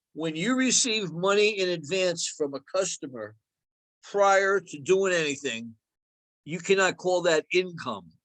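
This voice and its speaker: A man with a New Jersey accent speaks at a fairly slow pace, his high voice rising and falling in a lively way. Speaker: accounting instructor. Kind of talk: lecture.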